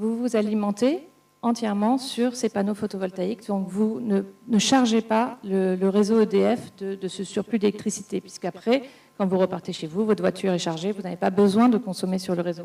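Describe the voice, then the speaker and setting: Her tone dark and mellow, a woman speaks at medium pitch with fairly even intonation. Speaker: business executive in clean mobility. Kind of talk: round table panel talk. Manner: fast; hesitant, repeats words.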